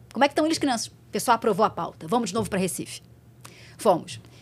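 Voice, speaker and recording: Very wide pitch swings mark this voice. It belongs to a woman. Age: 40s. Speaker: TV reporter. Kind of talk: casual chat.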